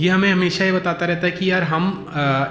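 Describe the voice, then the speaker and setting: A man speaks at a high pitch over background music, with audible echo in the room. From India. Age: 30s. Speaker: motivational speaker. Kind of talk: motivational talk. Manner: halting, many fillers.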